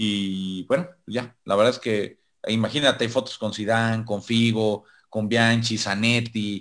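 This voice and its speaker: A man with a Mexican accent talks very slowly at a medium pitch. His intonation stays fairly even against a quiet background. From Mexico. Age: 30s. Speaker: sports journalist. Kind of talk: casual interview.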